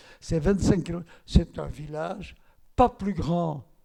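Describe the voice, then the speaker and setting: A man's fairly high voice with a dark, mellow tone, ordinary pitch variation and a fairly slow pace. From Belgium, Antwerp (Flemish-speaking). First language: Flemish (speaking French). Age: 90s. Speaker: Holocaust survivor. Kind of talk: testimony.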